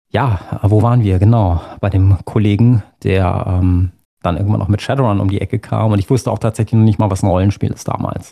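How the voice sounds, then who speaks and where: In a dry, close recording with no echo, a man with an unremarkable speaking voice and fairly low pitch talks at a moderate pace with ordinary pitch variation. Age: 40s. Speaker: musician and role-player. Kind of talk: casual interview chat.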